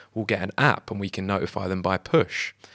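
A man speaks with a British accent. The recording is very clean, with a silent background and a dry, close sound free of echo. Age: 30s. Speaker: sneaker website founder. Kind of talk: casual interview.

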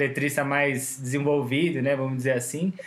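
A man's fairly high, flat, monotone voice amid noticeable background noise. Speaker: podcast host and songwriter. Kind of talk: casual chat.

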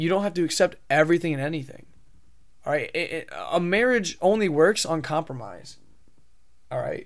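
Talking at a fairly quick pace, a man with an American accent uses a high pitch and ordinary pitch variation. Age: 20s. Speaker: podcast host. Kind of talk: solo monologue podcast, casual commentary. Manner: casual, filler-heavy, halting.

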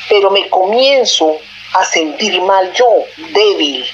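A medium-pitched woman's voice amid noticeable background noise. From Panama. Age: 60s. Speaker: storyteller sharing a paranormal experience. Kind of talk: personal testimony. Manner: halting.

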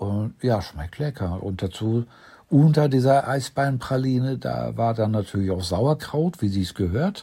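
A man speaks at a fairly slow pace in a medium pitch, his tone dark, mellow and somewhat breathy, with lively intonation. The recording is very clean, with a silent background. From Ruhr area, Germany. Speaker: partner of the host. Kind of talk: casual chat. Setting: hotel room.

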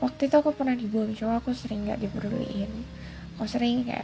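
A woman talks at a fairly high pitch. Noticeable background noise is present. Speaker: podcaster. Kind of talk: casual monologue. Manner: halting, many fillers; code-switching English and Indonesian.

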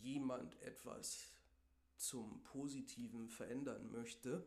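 This man speaks at a very slow pace. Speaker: podcast host. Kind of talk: solo podcast monologue on goal setting. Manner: casual, filler-heavy.

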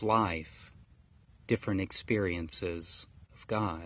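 Speaking in an American accent, a man shows ordinary variation in pitch. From US South, rural Georgia. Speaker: pastor. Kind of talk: sermon.

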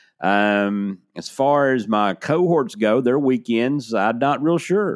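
A man with a Southern US accent, very slow in pace, with ordinary pitch variation. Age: 50s. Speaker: sports podcast host. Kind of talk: casual solo podcast monologue. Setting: studio. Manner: hesitant, many fillers.

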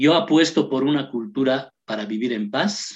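This man has an ordinary speaking voice at medium pitch, speaking at a fairly slow pace with ordinary pitch variation. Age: 50s. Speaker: human rights activist. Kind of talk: radio interview.

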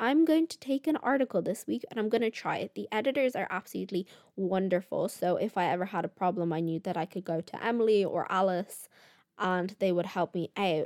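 A woman speaks in a Dublin accent at medium pitch, with an animated tone and lively intonation. The recording is very clean, the background silent. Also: fairly quick pace. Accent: Irish (Dublin). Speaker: podcast host, college student. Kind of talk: casual solo chat. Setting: home recording with microphone.

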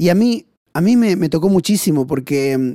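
A man's dark, mellow tone with lively intonation, heard in a dry, close sound with no echo. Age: 40s. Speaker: missionary. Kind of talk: testimony.

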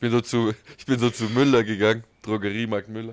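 A man's fairly low voice at a very fast pace. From southern Germany (Ulm, Swabia). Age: 30s. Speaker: podcast co-host. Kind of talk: casual chat. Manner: animated.

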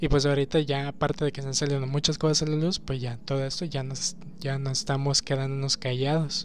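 Music plays in the background. A man with a fairly high pitch talks at a fairly quick pace and with fairly even intonation. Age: 20s. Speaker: podcaster. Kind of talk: casual monologue. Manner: halting.

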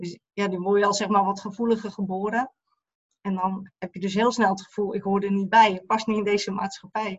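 Somewhat breathy, a woman speaks at a fairly quick pace with medium pitch and monotone, flat intonation. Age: 50s. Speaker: eating disorder therapist. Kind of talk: personal testimony interview.

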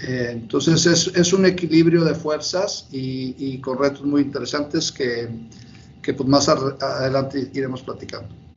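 A man talks fairly slowly in a fairly high voice with ordinary pitch variation while noticeable noise fills the background. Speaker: bank executive. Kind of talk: interview. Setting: video call.

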